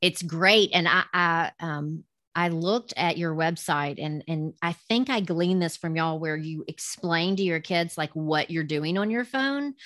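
Woman in a Southern US accent, fairly low pitch with ordinary pitch variation, moderate pace, on a very clean recording with a silent background. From US South. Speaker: podcast host. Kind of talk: casual interview.

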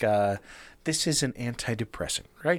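An unremarkable speaking voice from a man at a moderate pace with ordinary pitch variation comes through a very clean recording with a silent background. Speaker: podcast co-host. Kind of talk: casual chat. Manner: casual, profane.

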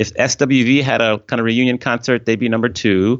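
With a plain, everyday voice, this man keeps to a medium pitch and a moderate tempo. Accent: American. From US East Coast, Washington DC area. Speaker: DJ and former hotel executive. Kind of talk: interview.

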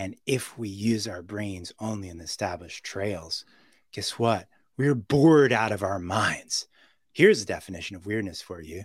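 Recorded very clean with a silent background, a man with a New York accent and a fairly low pitch talks at a moderate pace, with ordinary pitch variation and big swings in loudness. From New York City. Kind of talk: podcast interview. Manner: animated.

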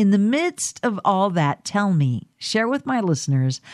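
A woman speaks in an American accent with a dark, mellow tone and very wide pitch swings. The recording is very clean with a silent background, and the sound is dry and close with no echo. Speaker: podcast and radio host. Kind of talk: interview. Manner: animated.

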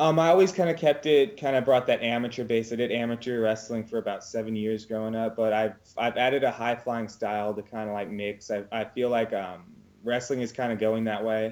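This man has a West Coast US accent and a medium pitch, speaking at a fairly quick pace with ordinary pitch variation. The recording is very clean, with a silent background. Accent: General American (West Coast). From US West Coast (California, Oregon). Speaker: professional wrestler. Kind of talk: casual interview.

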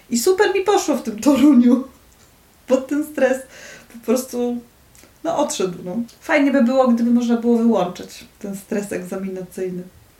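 The intonation is lively, with big swings in loudness at a moderate pace. Noticeable background noise sits behind the voice. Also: woman, high pitch for a woman. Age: 30s. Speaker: university lecturer. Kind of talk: casual chat. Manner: halting.

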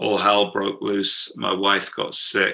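With a British accent, a man speaks at a fairly slow pace. His fairly low voice has a bright, sharp tone. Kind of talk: interview, casual. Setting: video call.

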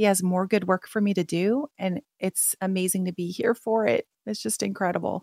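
A woman uses a plain, everyday voice at a medium pitch and a moderate pace, with ordinary pitch variation. The sound is dry and close, with no echo. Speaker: author and speaker. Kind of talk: radio interview.

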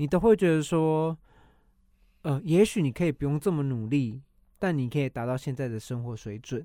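A man speaks at a moderate pace with lively intonation, his fairly high voice carrying a dark, mellow tone over a very clean recording with a silent background. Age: 30s. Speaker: podcast co-host. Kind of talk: casual chat.

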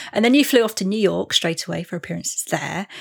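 Ordinary pitch variation marks the speech of a woman with an English accent. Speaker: podcast host. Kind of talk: interview chat.

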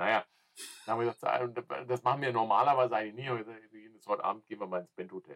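Very fast and dry, close with no echo, a man's medium-pitched voice shows ordinary pitch variation and big swings in loudness. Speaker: music podcast co-host. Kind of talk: casual chat. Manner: halting, repetitive starts.

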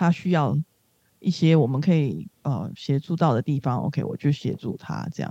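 Dry and close with no echo, a woman's very deep, low voice has a dark, mellow tone and lively intonation at a fairly slow pace. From Singapore. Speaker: social worker with former sex workers. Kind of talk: interview.

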